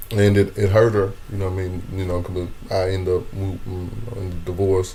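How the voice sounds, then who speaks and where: Over noticeable background noise and audible room echo, a man with a very deep, low pitch speaks at a moderate pace in a monotone, flat intonation. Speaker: comedian. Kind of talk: interview conversation. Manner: stammering repetitions.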